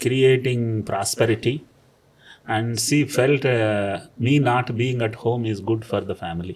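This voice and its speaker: A man with a plain, everyday voice speaks fairly slowly in a medium pitch, with fairly even intonation. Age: 60s. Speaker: businessman. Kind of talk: interview.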